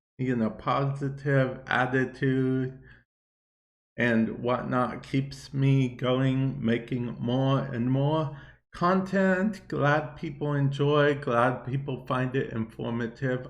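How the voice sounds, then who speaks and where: Very slow speech with audible room echo. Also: man. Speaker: gaming YouTuber podcast host. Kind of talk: casual solo podcast talk.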